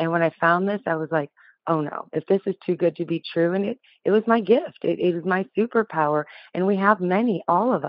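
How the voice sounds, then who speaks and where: A woman with an unremarkable speaking voice talks fairly quickly at a medium pitch with ordinary pitch variation. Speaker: hypnotherapist. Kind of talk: podcast interview.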